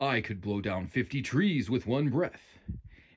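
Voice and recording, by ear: Someone reads aloud in a natural voice.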